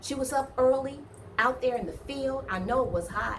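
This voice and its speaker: A woman talks in an animated tone with a Southern US accent. Room echo is audible, and there is noticeable background noise. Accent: southern, picked up over time. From US Midwest, East Cleveland, Ohio. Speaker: online Bible storyteller. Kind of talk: casual retelling of a Bible story. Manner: conversational, animated.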